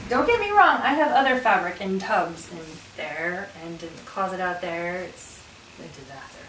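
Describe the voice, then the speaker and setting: A woman's fairly slow speech, with audible room echo and noticeable background noise. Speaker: sewing youtuber. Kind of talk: room tour vlog. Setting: home sewing room. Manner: casual, hesitant with fillers.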